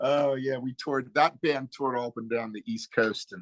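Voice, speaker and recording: With an American accent and a normal speaking voice, a man talks at a moderate pace and medium pitch in a dry, close sound with no echo. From eastern Pennsylvania (Quakertown). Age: 60s. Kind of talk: casual interview. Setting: video call.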